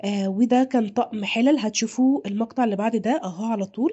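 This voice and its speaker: A woman with an Egyptian accent speaks in a somewhat breathy voice with ordinary pitch variation. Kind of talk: video narration. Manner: animated.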